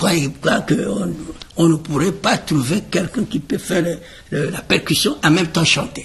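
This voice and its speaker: This man's voice sits high in pitch and has lively intonation. He talks at a fairly slow pace. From Republic of the Congo, Brazzaville. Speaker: choreographer and musician. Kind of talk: interview. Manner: halting.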